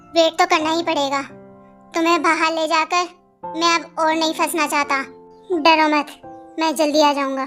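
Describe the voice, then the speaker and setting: Someone performs a put-on character voice at a moderate pace, with long, frequent pauses. Faint music plays in the background. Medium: read story. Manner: curt, commanding.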